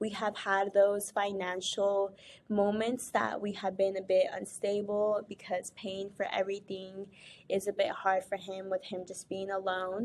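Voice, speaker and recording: This woman has a Spanish accent and talks at a moderate pace and medium pitch. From Spanish-speaking country, moved to US as a child. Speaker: scholarship recipient, nursing student. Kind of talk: thank-you video testimony.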